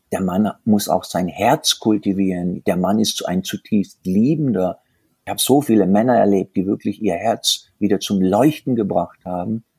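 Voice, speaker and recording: A man at a fairly low pitch with ordinary pitch variation and a moderate pace, in a dry, close sound with no echo. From southern Germany, rural. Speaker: tantra workshop leader. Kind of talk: interview. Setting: remote call. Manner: animated.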